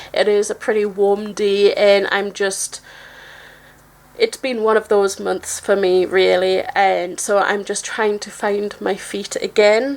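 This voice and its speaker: Noticeable background noise sits behind a woman's medium-pitched voice. She speaks very slowly in a monotone, flat intonation. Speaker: tarot deck reviewer. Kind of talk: casual video review. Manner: halting, stuttering.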